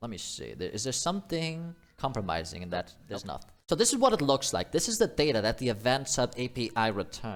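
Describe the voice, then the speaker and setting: With vocal fry and very wide pitch swings, a man talks at a fairly quick pace on a very clean recording against a silent background. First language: not English. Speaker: programmer streamer. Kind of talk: live coding stream commentary. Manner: casual thinking aloud with fillers.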